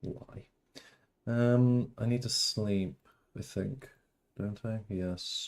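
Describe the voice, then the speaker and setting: A man in a strong British accent, very slow and fairly even in intonation, with long, frequent pauses. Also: medium pitch for a man. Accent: British, grown stronger. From England. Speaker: gaming streamer. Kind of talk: casual live-stream chat. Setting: live stream. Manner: rambling, chatty.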